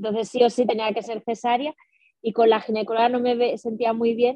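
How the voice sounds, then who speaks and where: A woman with a fairly high-pitched voice. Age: 40s. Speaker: single mother sharing fertility story. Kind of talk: personal testimony interview. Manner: halting, many repetitions and fillers.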